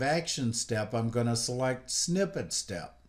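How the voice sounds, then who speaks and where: A man speaks at a fairly slow pace with lively intonation. His is an unremarkable speaking voice. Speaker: software instructor. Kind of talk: tutorial.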